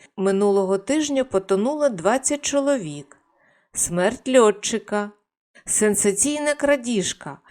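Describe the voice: A plain reading-aloud delivery set against a quiet background.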